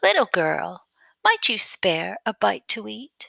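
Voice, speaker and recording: This female-sounding voice is a put-on character voice. It moves at a fairly slow pace. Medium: read story.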